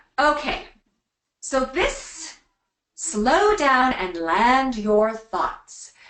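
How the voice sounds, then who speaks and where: A woman speaks very slowly in a high voice with very wide pitch swings and long, frequent pauses. Audible room echo surrounds her. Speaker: speech coach. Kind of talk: webinar presentation.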